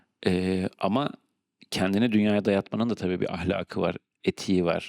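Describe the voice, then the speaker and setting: At a moderate pace, a man talks with fairly even intonation in a dry, close sound with no echo. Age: 40s. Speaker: podcast host. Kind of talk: solo monologue. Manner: halting with many fillers.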